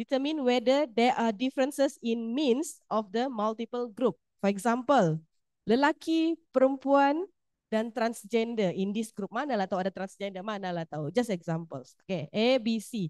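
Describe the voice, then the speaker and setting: A woman's fairly high voice, lively in intonation and fairly slow, in a dry, close sound with no echo against a quiet background. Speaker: university lecturer running a statistics workshop. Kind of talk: workshop lecture. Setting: classroom with hybrid online audience.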